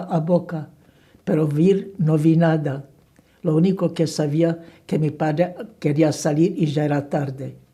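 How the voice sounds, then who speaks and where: A woman speaks in a very deep, low voice with a dark, mellow tone that is somewhat breathy. Her intonation is monotone and flat, and her pace is fairly slow. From Slovakia. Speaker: Holocaust survivor. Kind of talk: oral history interview answer.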